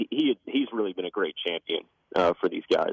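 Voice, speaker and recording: Recorded with a dry sound with no echo, a man speaks against a quiet background. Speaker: radio program director. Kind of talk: casual on-air chat. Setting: phone call. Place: studio.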